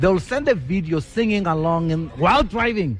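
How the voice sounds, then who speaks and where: A man with a high pitch speaks at a moderate pace in an animated tone, making very wide pitch swings. Noticeable background noise runs behind him. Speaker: radio host. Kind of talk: live radio broadcast, casual interview. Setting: outdoor broadcast at a restaurant.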